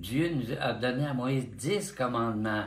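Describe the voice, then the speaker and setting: A somewhat breathy, medium-pitched male voice at a very slow pace, with audible room echo. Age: 90s. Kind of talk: interview. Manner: halting.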